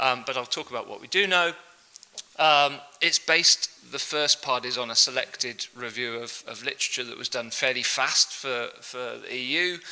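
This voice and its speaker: Over noticeable background noise, a man speaks at medium pitch with ordinary pitch variation and big swings in loudness. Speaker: professor. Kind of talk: lecture. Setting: conference stage with audience and translators. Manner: fast.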